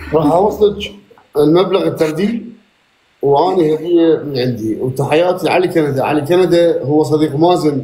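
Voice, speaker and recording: There is audible room echo around the voice. A man speaks at a fairly high pitch. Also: ordinary pitch variation, moderate pace. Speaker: live stream participant. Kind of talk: live stream chat. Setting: live stream.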